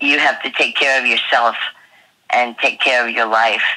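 A woman speaks in a New York accent. Her pace is moderate. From Long Island, New York. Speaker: skating coach. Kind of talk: interview.

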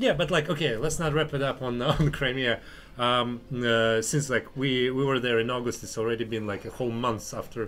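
This man talks at a moderate pace with a Russian accent, his medium-pitched voice keeping a fairly even intonation. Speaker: podcast host and comedian. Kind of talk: casual chat. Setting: anti cafe.

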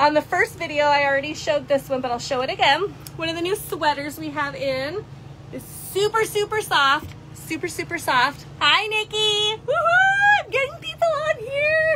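Over music in the background, a woman speaks at a moderate pace. Her voice is raised and projected. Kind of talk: live shopping stream chat. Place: shop. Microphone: phone near.

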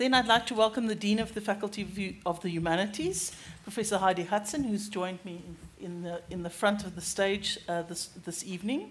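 Fairly quick and fairly even in intonation, the speech comes in a somewhat breathy voice. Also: woman. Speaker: event host welcoming guests. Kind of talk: formal welcome address. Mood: warm, lightly humorous. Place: hall. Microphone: podium.

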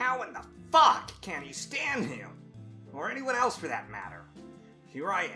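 Over clear music in the background, a put-on character voice speaks at a middle pitch. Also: female-sounding voice, moderate pace. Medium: fan dub. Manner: shouty, exasperated, swearing constantly; flustered and defensive when flirted with.

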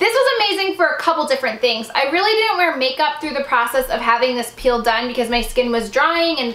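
A woman speaks in a raised, projected voice at a fairly quick pace. Audible room echo surrounds her. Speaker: beauty vlogger. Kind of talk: casual vlog chat. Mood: friendly, upbeat. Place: home room.

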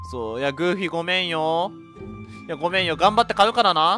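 A man with a fairly high pitch and lively intonation, music in the background. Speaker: VTuber game streamer. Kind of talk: casual game commentary.

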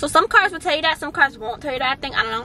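Over background music, a woman speaks in a raised, projected voice with lively intonation, the sound dry with no echo. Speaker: vlogger. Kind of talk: casual vlog chat. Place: car. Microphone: phone near.

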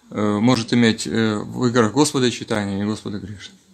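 Speaking fairly slowly, a man uses a medium pitch. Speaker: devotee asking questions.

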